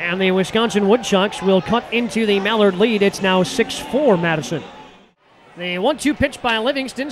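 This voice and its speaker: Noticeable background noise around a man with ordinary pitch variation, dry sound with no echo. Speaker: baseball play-by-play announcer. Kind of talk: live sports commentary, call-by-call highlights. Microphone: headset.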